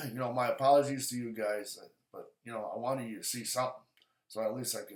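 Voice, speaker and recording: A man talks at a fairly quick pace. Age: 60s. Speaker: outdoor show host. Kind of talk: casual vlog talk to camera. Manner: halting, many fillers and restarts.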